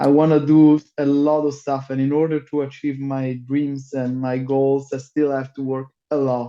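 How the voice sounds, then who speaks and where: A man with an Italian accent, fairly high-pitched for a man, with a dark, mellow tone, a flat monotone delivery and a fairly slow pace. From Italy. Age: 30s. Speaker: metal singer. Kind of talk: casual interview. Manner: halting, many fillers.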